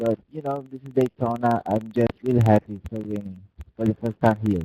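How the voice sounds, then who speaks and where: With a dark, mellow tone at medium pitch, a man speaks at a moderate pace, his loudness swinging widely in a dry, close sound with no echo. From Brazil. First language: Portuguese. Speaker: sim racing driver. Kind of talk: post-race interview.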